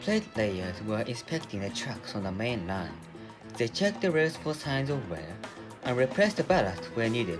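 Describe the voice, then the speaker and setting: A man with a strong non-native accent speaks at a medium pitch and moderate pace, his pitch swinging very widely over music in the background. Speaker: storyteller. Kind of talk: children's story audio reading.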